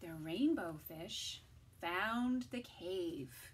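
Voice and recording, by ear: Her pace is very slow, with lively intonation. The woman's voice carries vocal fry.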